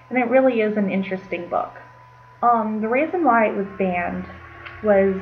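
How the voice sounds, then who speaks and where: Noticeable background noise sits behind a woman whose intonation is fairly even. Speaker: college freshman. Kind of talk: casual talk to camera. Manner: hesitant, with ums and stuttering.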